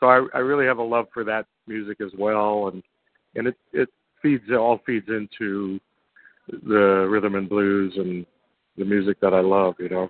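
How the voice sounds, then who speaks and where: A normal speaking voice from a man with an American accent, fairly low in pitch, at a moderate pace with fairly even intonation. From Brooklyn, New York. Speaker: blues pianist and bandleader. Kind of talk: interview.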